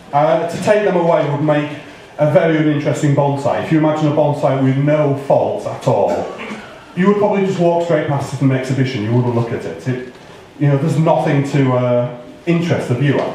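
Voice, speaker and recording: Fairly high in pitch for a man, this voice moves at a fairly quick pace with ordinary pitch variation, amid audible room echo and noticeable background noise. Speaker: bonsai expert giving tree critique. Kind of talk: live critique talk to audience. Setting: hall with audience, museum. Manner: loud.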